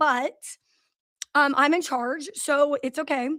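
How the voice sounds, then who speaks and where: A loud voice with a bright, sharp tone, in a very clean recording over a silent background. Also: woman. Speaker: business owner hosting livestream. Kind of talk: live stream talk. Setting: live video stream.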